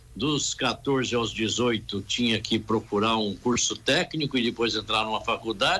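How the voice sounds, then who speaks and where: A man speaks at a medium pitch in a bright, sharp tone. His loudness is very even throughout. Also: ordinary pitch variation, moderate pace. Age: 70s. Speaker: real estate council president. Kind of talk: radio interview.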